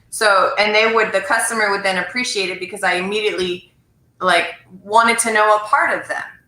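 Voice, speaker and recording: In a room with audible echo, a woman with a fairly high pitch talks at a fairly quick pace with fairly even intonation. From French Canada. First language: French. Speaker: sales professional and live show host. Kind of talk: casual chat. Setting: video livestream.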